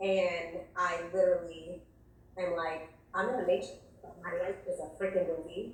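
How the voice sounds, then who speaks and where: Over noticeable background noise and audible room echo, a woman with an American accent speaks at a fairly low pitch and a moderate pace, pausing long and often. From New York City, the Bronx. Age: 40s. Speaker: nurse on a dating show. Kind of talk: casual storytelling. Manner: voice cracking, close to tears.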